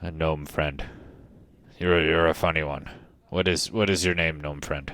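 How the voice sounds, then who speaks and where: A man uses a put-on character voice with a very deep, low pitch. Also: moderate pace. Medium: actual play. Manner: slow, deliberate, folksy.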